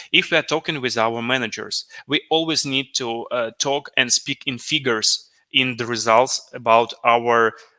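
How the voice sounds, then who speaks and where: Speaking slowly-ish with a non-native accent, a man of medium pitch has a bright, sharp tone and fairly even intonation, captured in a very clean recording with a silent background and a dry, close sound with no echo. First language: not English. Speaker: business analyst, conference speaker. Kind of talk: conference talk Q&A. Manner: halting, many fillers.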